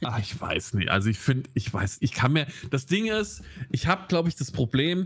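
This man has a fairly high pitch, a somewhat breathy voice and a slight Hessian accent. The recording is very clean, with a silent background. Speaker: film podcast co-host. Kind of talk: casual chat.

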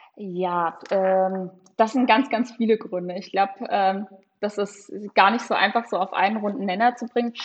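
A woman speaks at a moderate pace and a medium pitch with fairly even intonation. It is a normal speaking voice. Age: 20s. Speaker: young party politician and legal staffer. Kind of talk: political interview.

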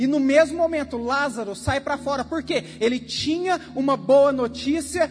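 Noticeable background noise behind a man's extremely high voice, with ordinary pitch variation. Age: 30s. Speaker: preacher and youth leader. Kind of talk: sermon. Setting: church service.

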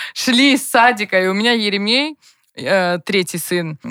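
A woman with a medium pitch talks at a fairly slow pace in an animated tone. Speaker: TV producer and blogger, mother of four. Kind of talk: casual chat.

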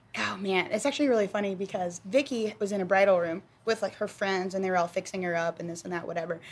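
A woman speaks with an American accent. Her pitch is medium and her pace very fast. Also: ordinary pitch variation, hardly any pauses. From Texas. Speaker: podcast host. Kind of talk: casual chat.

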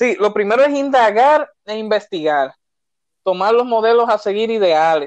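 With a Dominican accent, a man talks at a fairly slow pace in a high pitch with lively intonation. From Dominican Republic, Santo Domingo. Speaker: entrepreneur, economist. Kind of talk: interview. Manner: hesitant, many fillers.

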